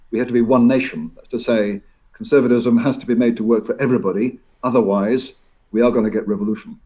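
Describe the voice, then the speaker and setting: Very fast and fairly even in intonation, a man with a dark, mellow tone and medium pitch speaks with big swings in loudness. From Scotland. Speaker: professor. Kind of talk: interview. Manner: halting, many repetitions.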